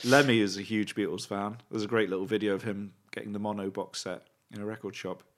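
Someone with a British accent speaks at a very fast pace in a monotone, flat intonation on a very clean recording with a silent background. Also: man, fairly low pitch for a man. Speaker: podcast co-host. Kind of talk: casual chat. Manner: rambling, hesitant.

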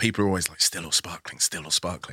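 A man with a London accent speaks in a bright, sharp tone with vocal fry, the sound dry and close with no echo. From London, Nigerian background. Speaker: food critic and author. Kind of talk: casual chat. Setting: studio.

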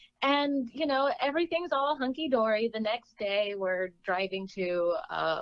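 Speaking with an American accent, a woman talks at a fairly slow pace with lively intonation. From US West Coast (California and Oregon). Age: 20s. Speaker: adult film actress. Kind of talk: casual interview chat.

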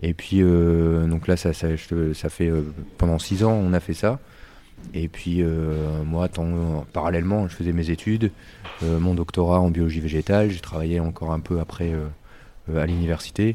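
At a fairly slow pace and with long, frequent pauses, a man speaks in a very deep, low, dark and mellow voice with flat, monotone intonation. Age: 30s. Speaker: brewer. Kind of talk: casual interview.

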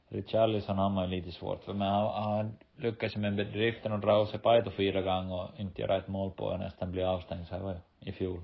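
A man talks at a moderate pace in a flat monotone, his pitch fairly low. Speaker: professional footballer and podcast co-host. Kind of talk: casual chat.

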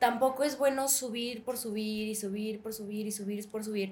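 This woman's voice sits fairly high and sounds somewhat breathy. She talks at a moderate pace with fairly even intonation. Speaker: actress. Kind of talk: interview.

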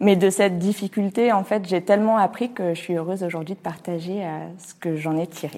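A woman's dark, mellow, medium-pitched voice at a fairly quick pace, fairly even in intonation but with big swings in loudness, in a very clean recording with a silent background. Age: 30s. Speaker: entrepreneur and business coach. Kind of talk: personal testimony. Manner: hesitant, many fillers.

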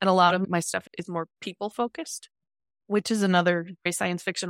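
A woman has a normal speaking voice with a fairly low pitch and fairly even intonation. The sound is dry and close with no echo, in a very clean recording over a silent background. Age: 40s. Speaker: science fiction author. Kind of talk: interview.

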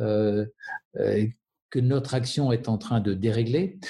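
Somewhat breathy and dark, mellow in tone, a man's voice sits at medium pitch with ordinary pitch variation. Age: 50s. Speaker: architect. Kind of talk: interview. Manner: halting.

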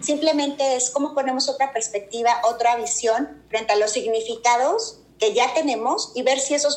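A woman with a high pitch and ordinary pitch variation, a moderate pace, and noticeable background noise. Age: 40s. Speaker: executive coach. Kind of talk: casual interview chat.

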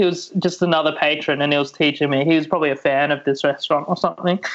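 This man speaks with an Australian accent. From Sydney, Australia. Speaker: comedian. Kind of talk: casual chat. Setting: video call.

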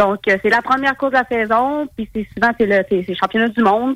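Fairly high in pitch and fairly even in intonation, a woman with a Quebec accent sounds dry and close with no echo. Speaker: snowmobile racer. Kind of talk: interview.

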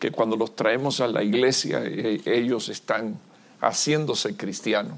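At a fairly slow pace, a man with an ordinary speaking voice talks at medium pitch. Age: 60s. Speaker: visiting pastor preaching. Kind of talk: sermon.

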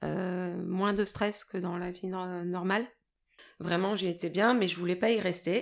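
At a very slow pace, a woman speaks in a medium pitch with monotone, flat intonation on a very clean recording with a silent background. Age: 40s. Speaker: person living with bipolar disorder. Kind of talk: personal testimony. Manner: halting, many hesitations.

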